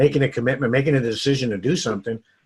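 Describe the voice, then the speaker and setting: A man's somewhat breathy, medium-pitched voice with fairly even intonation. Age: 60s. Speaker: network marketing coach. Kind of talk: interview. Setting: home office.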